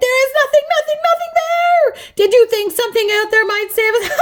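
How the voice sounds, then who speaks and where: A woman's put-on character voice, extremely high in pitch and lively in intonation. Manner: wailing.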